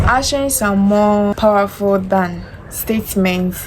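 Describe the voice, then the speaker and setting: A woman's medium-pitched voice carries fairly even intonation against noticeable background noise. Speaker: self-help vlogger. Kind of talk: motivational talk to camera. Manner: loud, confident projection.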